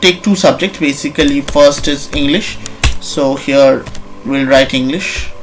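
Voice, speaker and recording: Over noticeable background noise, the speaker goes at a fairly slow pace. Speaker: programming tutorial presenter. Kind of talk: tutorial. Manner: halting, many fillers.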